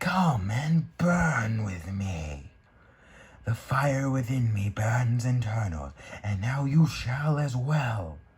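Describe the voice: The speaker is a man using a put-on character voice. It stays at a medium pitch.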